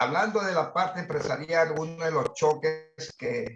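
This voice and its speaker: Fairly slow delivery from a man whose voice is somewhat breathy. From Ecuador. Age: 60s. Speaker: business management consultant. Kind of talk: participant in online masterclass discussion.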